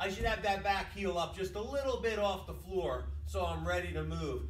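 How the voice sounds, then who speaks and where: A man talks at a moderate pace amid light background noise and audible room echo. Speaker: boxing coach. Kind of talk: tutorial. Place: gym. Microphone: camera far.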